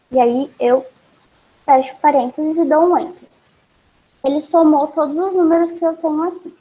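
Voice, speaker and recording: A woman speaks at a high pitch with a dark, mellow tone. She leaves long, frequent pauses. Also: ordinary pitch variation, moderate pace. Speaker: university student teaching a short course. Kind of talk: online tutorial class.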